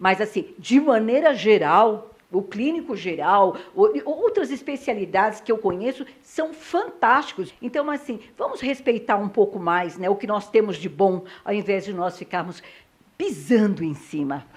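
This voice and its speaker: A woman talks at a fairly slow pace in a fairly high voice, her pitch swinging very widely. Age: 60s. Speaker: TV talk show host. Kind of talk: interview. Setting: doctor's office.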